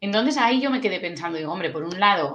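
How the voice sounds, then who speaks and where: Very fast, lively speech from a woman with a Basque accent, with audible room echo. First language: Basque (speaking Spanish). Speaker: tourism UX consultant. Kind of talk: interview. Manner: casual.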